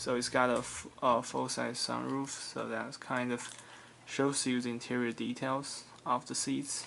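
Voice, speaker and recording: Fairly slow pace, with a non-native accent. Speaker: diecast model car collector, YouTuber. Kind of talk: casual product review video. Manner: halting, frequent fillers and self-corrections.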